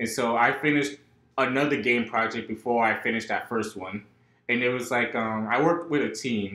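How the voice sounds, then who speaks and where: A man talks at a fairly quick pace with fairly even intonation. Audible room echo surrounds his voice. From North Carolina (born in New York). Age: 20s. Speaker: college student, game developer; podcast guest. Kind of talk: casual interview. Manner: halting, many fillers. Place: home room. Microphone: camera far.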